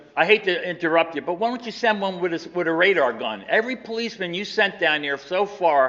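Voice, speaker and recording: An animated voice with an American accent moves at a fairly quick pace with lively intonation. Noticeable background noise sits behind it. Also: man. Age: 70s. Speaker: local resident at public comment. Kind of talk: public comment at council meeting. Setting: council chambers. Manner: animated, frustrated.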